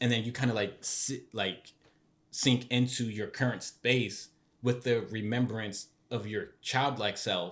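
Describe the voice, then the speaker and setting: This is an unremarkable speaking voice with fairly even intonation. It moves at a fairly slow pace. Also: man, medium pitch for a man. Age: 20s. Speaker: podcast co-host. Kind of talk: casual chat. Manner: rambling with many fillers.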